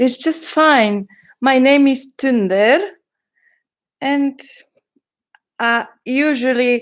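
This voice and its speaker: Very slowly, a woman with a non-native accent speaks in a high voice. Her loudness stays very even, with ordinary pitch variation. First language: not English. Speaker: journal maker and crafter. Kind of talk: livestream craft flip-through. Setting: livestream from computer. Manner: halting.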